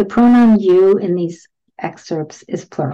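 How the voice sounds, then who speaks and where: A dark, mellow tone at a fairly slow pace, with ordinary pitch variation and a quiet background. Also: woman. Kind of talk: reading student testimonials aloud. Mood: warm, reflective. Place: home room. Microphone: webcam.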